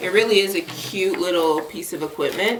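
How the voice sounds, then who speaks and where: A woman speaks at a medium pitch. There is audible room echo and noticeable background noise. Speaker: violinist and vlogger. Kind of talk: casual vlog talk. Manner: loud.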